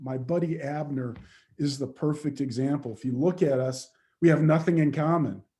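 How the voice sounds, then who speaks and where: A man talks at a fairly high pitch with ordinary pitch variation. His tone is dark, mellow and somewhat breathy. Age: 50s. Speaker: leadership coach and diversity speaker. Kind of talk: webinar Q&A answer. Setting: video call. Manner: conversational, with frequent fillers and repetitions.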